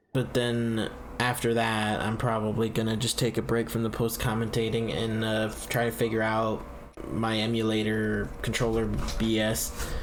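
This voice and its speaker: Flat, monotone intonation amid noticeable background noise and audible room echo. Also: man, medium pitch for a man, moderate pace. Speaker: gaming youtuber. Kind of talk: let's play commentary. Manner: loud; hesitant, many fillers.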